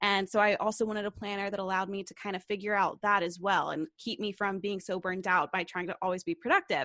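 A woman with an American accent talks in a normal speaking voice at a medium pitch and a fairly quick pace, recorded dry and close with no echo against a quiet background. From US South, Knoxville, Tennessee. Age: 20s. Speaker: YouTuber and entrepreneur. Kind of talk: casual interview.

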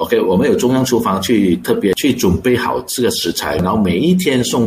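With noticeable background noise, a man talks at a fairly quick pace with lively intonation. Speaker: restaurant chain co-founder and executive director. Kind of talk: radio interview.

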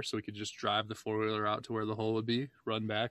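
Against a quiet background, a man at medium pitch talks at a very fast pace. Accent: American. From Michigan. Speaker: podcast host. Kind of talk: casual chat.

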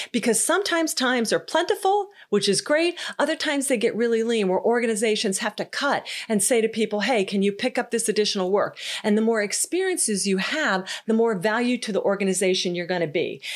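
A woman with a fairly high pitch speaks at a very fast pace in an animated tone with lively intonation. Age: 50s. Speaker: podcast host and leadership coach. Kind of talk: solo podcast monologue.

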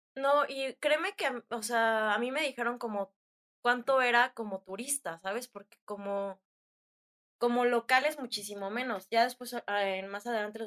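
A woman speaks at a moderate pace and a fairly high pitch, with ordinary pitch variation. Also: dry, close sound with no echo. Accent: central Mexican. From Mexico (Hidalgo, Querétaro). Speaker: traveler, student. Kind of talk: casual interview chat, travel storytelling. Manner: animated.

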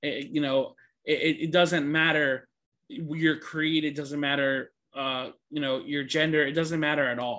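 A man with an ordinary speaking voice talks at a fairly slow pace, his pitch fairly high and his intonation fairly even. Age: 20s. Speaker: podcast host. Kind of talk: monologue. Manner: casual with many fillers.

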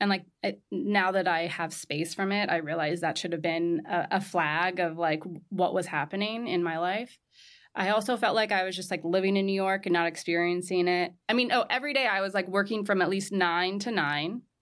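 Someone with a Californian accent talks at a fairly quick pace with ordinary pitch variation. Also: woman, medium pitch for a woman. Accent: General American, Californian. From Southern California. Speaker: entrepreneur, textile company founder. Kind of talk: interview. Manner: casual, many fillers like 'like'.

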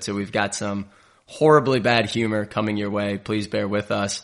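A man speaks at a moderate pace. His voice sits fairly low. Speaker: sports podcast host. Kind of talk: casual sports analysis chat.

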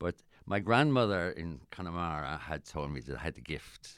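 Very deep, low pitch from a man with an Irish accent, vocal fry, lively intonation and a fairly quick pace. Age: 70s. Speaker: actor. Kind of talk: casual chat. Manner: halting.

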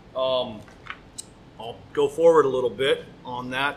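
A man with an American accent speaks at a moderate pace and a fairly high pitch. There is noticeable background noise. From US West Coast, San Francisco. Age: 40s. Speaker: master butcher. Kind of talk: casual interview. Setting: on site in a butcher shop.

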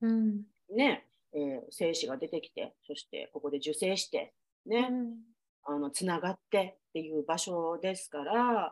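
At a fairly slow pace, a woman uses a normal speaking voice with medium pitch and lively intonation. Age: 40s. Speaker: podcast host. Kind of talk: casual chat.

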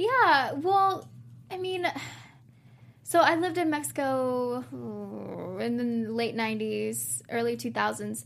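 With an American accent, a woman speaks at a very slow pace with long, frequent pauses. Noticeable background noise and audible room echo are present. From South Texas. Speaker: TV panelist. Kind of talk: casual chat.

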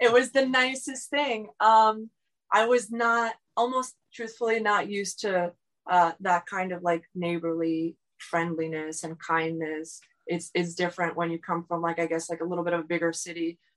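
With a South Florida accent, a woman speaks at a moderate pace in a fairly low pitch with ordinary pitch variation. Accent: American, South Florida. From South Florida, Miami. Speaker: running support crew. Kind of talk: interview.

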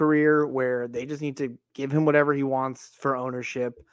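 A man with an ordinary speaking voice talks at a moderate pace and medium pitch, his intonation fairly even over a quiet background. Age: 30s. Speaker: podcast co-host. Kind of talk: casual sports podcast chat.

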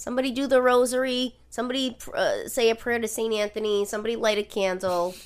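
With a Rhode Island accent, a woman talks very fast in a fairly high pitch, barely pausing. Her tone is animated. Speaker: podcast host. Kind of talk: casual chat, true crime storytelling. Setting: living room recording, at home. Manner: animated, jokey, profane.

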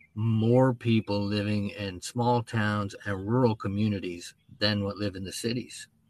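A man speaks at a medium pitch with an American accent. His pitch varies in an ordinary way. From Texas, Dallas. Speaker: author and traveler. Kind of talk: interview.

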